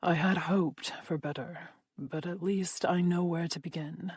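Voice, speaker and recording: A woman uses a put-on character voice at a fairly low pitch. She talks at a moderate pace. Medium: read story. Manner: commanding, controlled menace.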